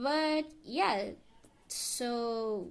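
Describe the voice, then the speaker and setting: With a non-native accent, a woman speaks at a high pitch. Her intonation is lively. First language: not English. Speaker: video essayist. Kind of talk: character analysis monologue. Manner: halting, stumbles over words.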